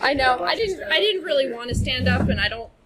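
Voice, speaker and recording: Ordinary pitch variation in a woman's speech, set against noticeable background noise. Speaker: lake club trustee. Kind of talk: presentation. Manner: soft-spoken; projecting voice.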